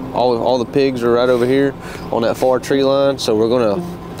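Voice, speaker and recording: With clear music in the background, a man speaks at a moderate pace in a dry sound with no echo. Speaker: hunting guide. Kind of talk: briefing explanation to camera. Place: open country.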